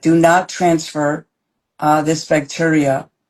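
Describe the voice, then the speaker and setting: A woman speaks with a very deep, low-pitched voice. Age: 70s. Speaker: probiotics formulator and expert. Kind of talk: interview.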